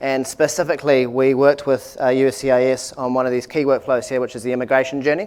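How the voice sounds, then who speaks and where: With a New Zealand accent, a man talks very fast with hardly any pauses, his medium pitch held in flat, monotone intonation. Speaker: tech company executive. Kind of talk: product presentation. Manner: hesitant, many fillers.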